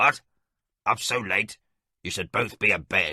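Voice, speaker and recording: A raspy, put-on character voice moves along at a moderate pace. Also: man, dry, close sound with no echo. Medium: audio drama. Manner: stern, fatherly.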